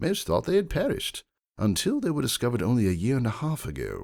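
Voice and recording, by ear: A put-on character voice with vocal fry and a slightly mellow tone swings very widely in pitch at a fairly quick pace. The recording is very clean, with a silent background. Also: man, medium pitch for a man.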